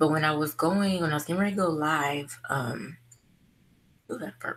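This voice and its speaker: This woman has a very deep, low pitch and a relaxed tone. She talks at a moderate pace. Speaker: beauty vlogger. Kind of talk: casual chat. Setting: livestream video call. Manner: monotone.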